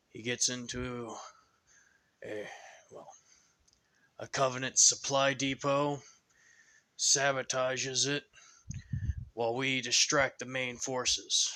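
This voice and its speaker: A man uses a put-on character voice with a weary tone and flat, monotone intonation. He speaks at a fairly slow pace with long, frequent pauses and big swings in loudness. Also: medium pitch for a man. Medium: read story. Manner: weary, sighing, grim.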